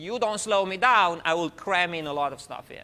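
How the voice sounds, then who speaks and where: The man has a high-pitched voice. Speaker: university professor. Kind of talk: lecture. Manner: fast.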